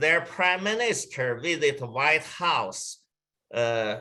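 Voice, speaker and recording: A man with a Chinese accent talks in a bright, sharp tone with lively intonation. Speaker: travel company executive. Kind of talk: webinar presentation. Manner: halting.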